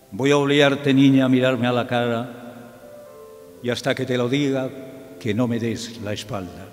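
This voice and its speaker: A man speaks at a medium pitch and moderate pace, his intonation fairly even. Long, frequent pauses break up his speech over faint music in the background. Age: old. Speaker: radio broadcaster; journalist. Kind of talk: poetry reading. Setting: theatre recital with choir accompaniment. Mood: tender, nostalgic. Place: stage. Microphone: podium.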